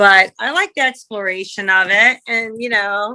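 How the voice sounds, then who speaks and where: Speaking fairly slowly, a woman with an American accent has a medium pitch and fairly even intonation. Her tone is bright and sharp. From US West Coast, San Diego, California. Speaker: artist and sculptor. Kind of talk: casual interview chat.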